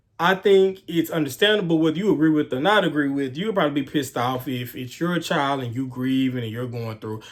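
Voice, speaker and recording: Speaking with a Houston accent, a man with a fairly high pitch uses lively intonation and an animated tone. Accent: Southern US (Houston). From US South, Houston, Texas. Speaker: true crime YouTuber. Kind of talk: casual storytelling.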